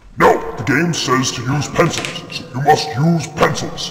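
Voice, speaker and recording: Putting on a character voice, a man talks at a moderate pace and fairly high pitch, with a clear echo and clear background noise. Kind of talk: comic overacting. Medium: comedy sketch. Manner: commanding, menacing.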